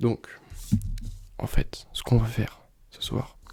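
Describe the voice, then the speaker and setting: Whispering at a very slow pace, a man speaks in a relaxed tone. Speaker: student who makes ASMR videos. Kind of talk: ASMR soft-spoken study session, casual talk to camera. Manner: soft-spoken, relaxed, sometimes whispering.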